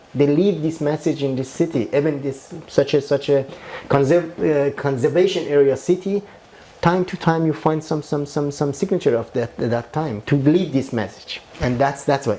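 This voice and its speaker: The speaker has a Persian accent. The pace is moderate. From Iran. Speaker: architect. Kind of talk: interview. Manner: halting, many repetitions.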